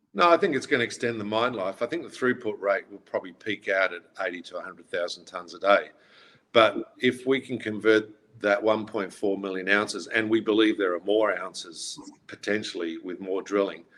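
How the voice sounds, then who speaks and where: Using an ordinary speaking voice, a man talks at a fairly quick pace with a fairly low pitch, ordinary pitch variation and big swings in loudness. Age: 60s. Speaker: mining company executive. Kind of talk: conference presentation and Q&A.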